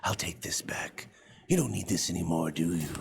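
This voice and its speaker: A man puts on a raspy character voice with a very deep, low pitch. His pace stays moderate. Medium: video game. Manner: polite, theatrical.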